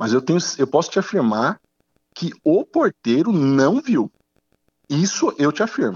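The speaker's pitch swings very widely. Long pauses come often. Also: man, fairly high pitch for a man. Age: 40s. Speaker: lawyer. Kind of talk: interview. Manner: halting.

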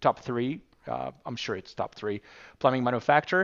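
With an American accent, a man talks at a moderate pace and a medium pitch. He has an unremarkable speaking voice. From New York City. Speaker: tech company founder. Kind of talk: interview.

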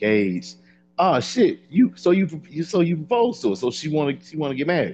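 Very wide pitch swings from a medium-pitched man with a Carolinas accent. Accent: Southern US (Carolinas). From US South, Lancaster, South Carolina. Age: 40s. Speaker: podcast co-host. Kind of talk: casual chat. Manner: animated, laughing.

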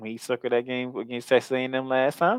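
A man talks at a fairly quick pace with a medium pitch. He has a plain, everyday voice. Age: 30s. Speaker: college football podcast host. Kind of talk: casual sports talk.

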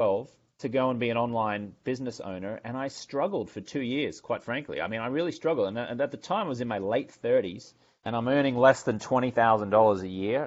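A man's medium-pitched voice in an Australian accent, fairly quick, with ordinary pitch variation. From Brisbane, Australia. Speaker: entrepreneur and former sports TV anchor. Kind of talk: interview.

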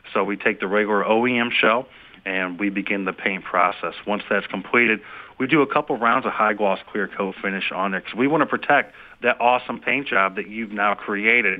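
With a plain, everyday voice, a man speaks fairly quickly at a fairly low pitch with ordinary pitch variation. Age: 30s. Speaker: senior designer at a custom game controller company. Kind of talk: interview.

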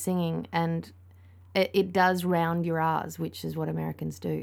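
A woman with an Australian accent at a moderate pace. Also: very clean recording, silent background. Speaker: music producer and singer. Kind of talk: casual chat. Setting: outdoors, backyard hut.

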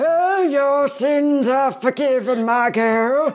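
A put-on character voice, pitched high and delivered at a very slow pace. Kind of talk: solemn, pastoral.

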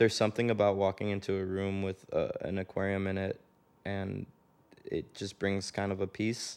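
A man with a Chicago accent, fairly low pitch and monotone, flat intonation at a moderate pace, on a very clean recording with a silent background. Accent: general American, Chicago-area. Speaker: podcast host. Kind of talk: casual interview conversation.

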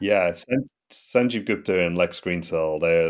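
A man's very deep, low voice at a moderate pace in a very clean recording with a silent background. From northern England, Newcastle area. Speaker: author. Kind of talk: casual interview chat.

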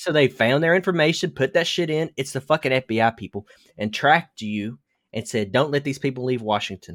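On a very clean recording with a silent background and a dry, close sound with no echo, a man at a medium pitch uses an ordinary speaking voice with lively intonation. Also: fairly quick pace. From US South. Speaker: podcast host. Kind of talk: casual chat.

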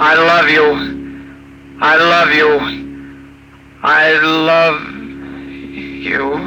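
In a put-on robotic character voice, a man speaks very slowly at a fairly high pitch, pausing long and often over clear background noise. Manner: droning, repetitive.

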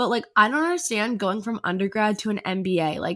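An unremarkable speaking voice from a woman with an American accent, fairly high in pitch, at a fairly quick pace with lively intonation, in a very clean recording with a silent background. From New Jersey. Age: 20s. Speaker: content creator and journalist. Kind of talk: casual chat.

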